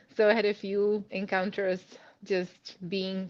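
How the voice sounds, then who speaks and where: A woman with a Czech accent. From Czech Republic. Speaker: immigrant sharing career story. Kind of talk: podcast interview.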